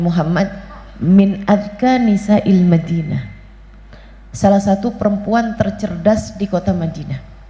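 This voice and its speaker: Audible room echo surrounds a woman of medium pitch who speaks at a fairly slow pace. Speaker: female Islamic preacher. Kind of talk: religious lecture. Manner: casual, colloquial.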